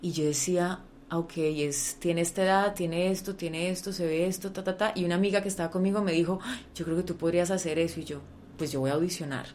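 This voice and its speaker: Talking at a fairly quick pace, a woman uses an ordinary speaking voice with fairly low pitch and fairly even intonation. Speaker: actress. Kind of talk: interview. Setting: home recording.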